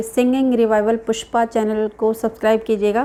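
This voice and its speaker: Her pitch sits fairly high, and the woman's delivery stays flat and monotone throughout. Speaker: vlogger. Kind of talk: casual vlog talk. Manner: halting.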